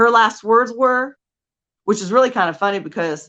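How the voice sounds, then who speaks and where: Over a quiet background, a woman with a Californian accent speaks with lively intonation. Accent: Californian American English. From Southern California. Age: 40s. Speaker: life coach. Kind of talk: motivational talk. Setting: stage.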